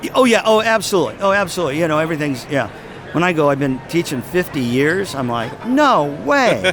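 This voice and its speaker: Amid music in the background and audible room echo, a man with a fairly high pitch speaks at a very fast pace, his pitch swinging very widely. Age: 70s. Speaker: music educator and speaker. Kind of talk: casual chat.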